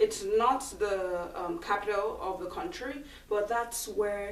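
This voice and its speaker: Talking at a fairly slow pace with ordinary pitch variation, a woman is heard with audible room echo. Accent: strong Nigerian. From Nigeria (Lagos). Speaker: schoolteacher. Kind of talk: video Q&A for schoolchildren. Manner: clear, slightly halting with ums.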